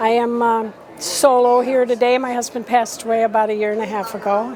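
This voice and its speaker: Over noticeable background noise, a woman with an American accent speaks at a moderate pace, high-pitched and with fairly even intonation. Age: 70s. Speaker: class reunion attendee. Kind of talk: casual interview. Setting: restaurant event.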